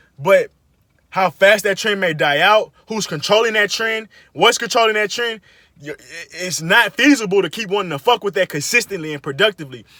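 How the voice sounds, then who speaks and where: A man's raised, projected voice, high in pitch, with a bright, sharp tone, ordinary pitch variation, a fairly quick pace, and a dry, close sound with no echo. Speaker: podcaster. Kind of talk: casual monologue. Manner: fast; animated.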